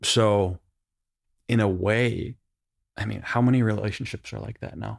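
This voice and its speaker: On a very clean recording with a silent background and dry, close sound with no echo, a man with a Western New York accent speaks at a moderate pace in a fairly low voice, his intonation fairly even but his loudness swinging widely. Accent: Western New York (Inland North) American. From Buffalo, New York. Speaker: advertising creative director. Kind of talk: coaching session. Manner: casual.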